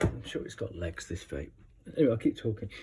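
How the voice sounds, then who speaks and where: A man talks with a dark, mellow tone that is somewhat breathy. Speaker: tarot reader. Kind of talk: tarot reading. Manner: hesitant.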